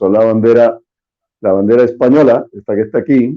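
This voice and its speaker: With fairly even intonation and medium pitch, a man talks at a moderate pace. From Puerto Rico, San Juan. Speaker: spokesman of a political association. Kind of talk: interview.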